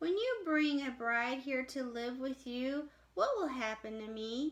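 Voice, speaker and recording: A woman uses a put-on character voice, soft-spoken and high-pitched. She talks at a fairly slow pace. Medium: read story. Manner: gentle, questioning.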